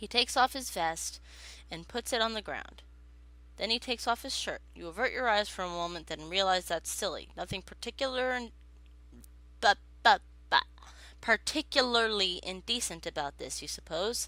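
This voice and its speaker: At a moderate pace, the speaker leaves long, frequent pauses and swings widely in loudness on a very clean recording with a silent background. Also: woman. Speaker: gamer playing a visual novel. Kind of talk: game playthrough reading aloud.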